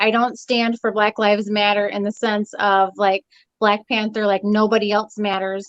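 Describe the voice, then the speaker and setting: A woman's normal speaking voice, fairly high in pitch, at a moderate pace, with a dry, close sound and no echo. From Texas. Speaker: online talk show host. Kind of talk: casual chat.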